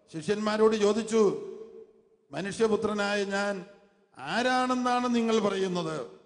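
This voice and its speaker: In a room with audible echo, a man speaks in a high pitch with an animated tone. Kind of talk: sermon. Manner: animated, repeating phrases for the congregation.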